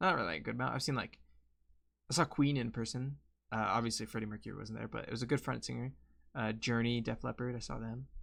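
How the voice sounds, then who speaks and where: A man at a very fast pace with vocal fry and ordinary pitch variation, on a very clean recording against a silent background. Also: medium pitch for a man. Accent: American. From Colorado, US. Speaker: streamer. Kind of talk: casual chat. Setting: live stream. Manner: rambling, hesitant; loud. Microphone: close to the mic.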